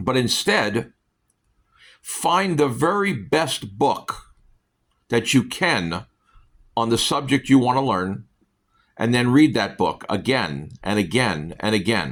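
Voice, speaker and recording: A man speaks very slowly with long, frequent pauses. His pitch swings very widely and his voice shows vocal fry. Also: medium pitch for a man. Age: 60s. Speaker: self-help book vlogger. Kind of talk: casual monologue. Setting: at home on a couch. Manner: halting, many fillers.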